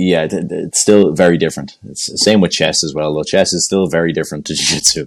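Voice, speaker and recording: In an Irish accent, the speaker rushes along at a very fast pace with hardly any pauses. The intonation stays fairly even. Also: man, very deep, low pitch for a man. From Ireland. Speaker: jiu jitsu brown belt and instructor. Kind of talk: casual podcast interview.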